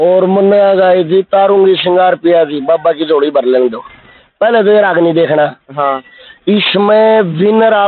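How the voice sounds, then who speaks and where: At a fairly slow pace, a man with a high pitch speaks with ordinary pitch variation in a dry sound with no echo. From Haryana, Rohtak district; Haryana. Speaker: ragini folk singer; interviewee. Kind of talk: interview. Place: garden. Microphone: handheld.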